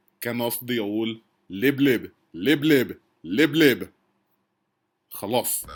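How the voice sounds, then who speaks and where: A man at a medium pitch and very slow pace, with ordinary pitch variation and long, frequent pauses. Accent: non-native. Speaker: Arabic language learner. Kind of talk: casual talk to camera. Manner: nervous, hesitant.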